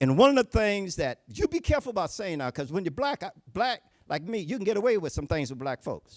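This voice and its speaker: In a Southern US accent, a man with a high pitch talks at a very fast pace in an animated tone, with very wide pitch swings and a dry, close sound with no echo. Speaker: Baptist preacher and political candidate. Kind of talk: political speech.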